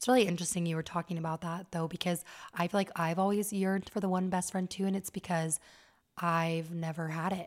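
A woman with an American accent speaks at a very fast pace. Her intonation is monotone and flat, in a very clean recording with a silent background. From Las Vegas, Nevada. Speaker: podcast host. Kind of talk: casual chat.

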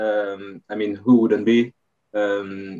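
A man speaks with a French accent at a fairly low pitch. His pace is fairly slow. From France, Paris area. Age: 30s. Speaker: retired footballer. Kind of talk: interview. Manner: halting.

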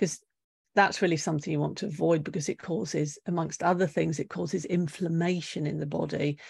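A woman with a British accent and a fairly low pitch, over a quiet background. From UK. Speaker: nutritional therapist. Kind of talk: interview.

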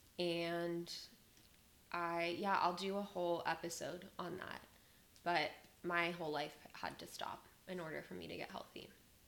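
With an American accent, the speaker goes at a fairly slow pace in a flat monotone, with long, frequent pauses, big swings in loudness and audible room echo. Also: woman, fairly low pitch for a woman. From Las Vegas, Nevada. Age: 20s. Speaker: podcast host. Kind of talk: casual monologue. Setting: home recording.

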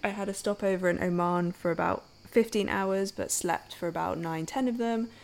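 A woman speaks in an ordinary speaking voice. Her pitch moves up and down by an ordinary amount. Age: 20s. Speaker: podcast host, intuition coach. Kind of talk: casual monologue.

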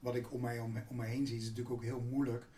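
A man's medium-pitched, dark and mellow voice, somewhat breathy, at a fairly quick pace with audible room echo. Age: 60s. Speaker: business executive. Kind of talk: interview.

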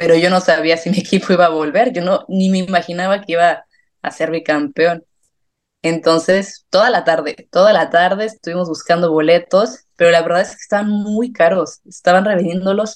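A woman talks at a moderate pace in a fairly low pitch, her intonation fairly even. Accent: central Mexican. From Mexico, San Miguel de Allende. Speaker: football fan and sports journalism student. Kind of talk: casual interview.

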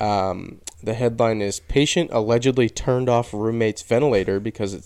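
A man with an ordinary speaking voice talks at a medium pitch. His pace is moderate, and his intonation is fairly even. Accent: American. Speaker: podcast host. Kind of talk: casual chat.

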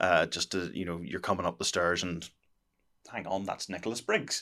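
He has a Northern Irish accent. The man's tone is bright and sharp. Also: very clean recording, silent background. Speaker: podcast co-host. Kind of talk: casual chat.

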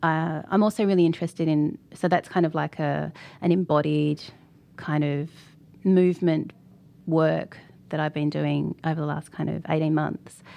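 In an Australian accent, a dark, mellow voice speaks at a moderate pace in a flat monotone, with long, frequent pauses over a quiet background. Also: woman, very deep, low pitch for a woman. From Australia (Sydney), Fijian heritage. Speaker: artist and art lecturer. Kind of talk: interview conversation.

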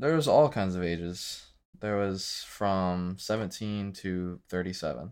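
Using an unremarkable speaking voice, a man talks fairly slowly in a fairly low pitch with ordinary pitch variation. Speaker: recent army basic training returnee. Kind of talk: casual chat, recounting experiences.

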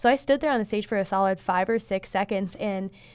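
A woman with a Midwestern American accent speaks at a very fast pace. Her pitch is medium, and the background is quiet. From northern Indiana, US Midwest. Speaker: beauty pageant titleholder and college student. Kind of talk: interview. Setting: studio.

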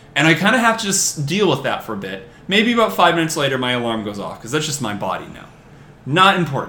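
A man with an American accent talks at a very fast pace and a fairly high pitch, with very wide pitch swings and big swings in loudness. Noticeable background noise runs under the recording. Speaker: podcast guest. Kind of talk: casual chat.

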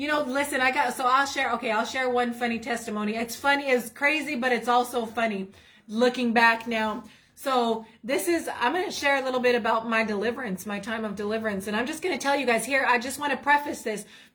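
Over noticeable background noise, a woman speaks in a high voice at a fairly quick pace with ordinary pitch variation. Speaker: ministry co-host. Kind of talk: preaching and testimony livestream.

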